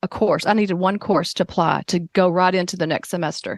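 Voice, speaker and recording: A woman speaks at a fairly quick pace with a Southern US accent. The sound is dry and close with no echo, over a quiet background. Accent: rural Southern US accent, embraced. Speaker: occupational therapist. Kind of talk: interview. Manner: casual, halting with fillers.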